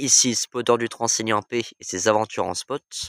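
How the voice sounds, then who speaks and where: Very slow speech from a man at a medium pitch, dry and close with no echo, on a very clean recording with a silent background. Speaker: train-spotting YouTuber. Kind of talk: casual vlog monologue. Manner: hesitant with many fillers; quiet.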